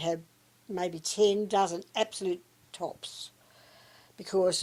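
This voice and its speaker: This voice has a dark, mellow tone, fairly even intonation and an Australian accent. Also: woman. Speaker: retiree. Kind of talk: interview answer.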